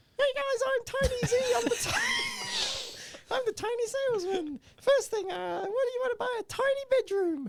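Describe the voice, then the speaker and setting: Someone speaks in a put-on character voice at an extremely high pitch and a moderate pace. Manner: pitchy, salesman-like.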